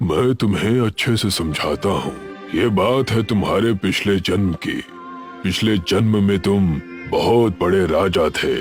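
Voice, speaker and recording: Clear music plays in the background while a man talks at a fairly slow pace. He uses a cartoonish character voice with a fairly low pitch. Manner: calm, solemn.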